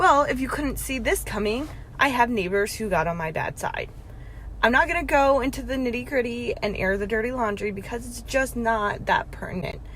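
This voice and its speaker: Audible room echo surrounds a woman's high-pitched, animated voice. She moves at a moderate pace with lively intonation. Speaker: vlogger. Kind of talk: casual rant.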